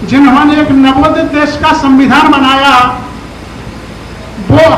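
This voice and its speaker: Amid noticeable background noise and audible room echo, a man speaks in a monotone, flat intonation. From Bundelkhand, near Jhansi, India. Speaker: professor and poet. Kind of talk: public speech.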